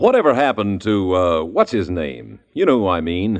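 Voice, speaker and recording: A man uses an unremarkable speaking voice, keeping to a moderate pace. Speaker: radio announcer. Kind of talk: old-time radio drama announcement, commercial. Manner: formal, polished, bright.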